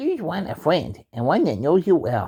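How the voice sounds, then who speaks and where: Pitched high, a man performs in a put-on character voice. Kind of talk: Shakespearean stage reading. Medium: stage play. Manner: plain, hesitant reading.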